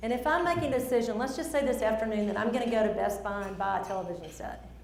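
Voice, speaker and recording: In a strong Southern accent, a woman talks very fast at a fairly high pitch, her tone animated and her intonation lively. Noticeable background noise sits behind her. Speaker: speaker. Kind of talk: presentation.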